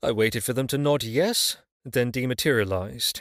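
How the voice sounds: Set against a quiet background, a natural reading voice carries ordinary pitch variation.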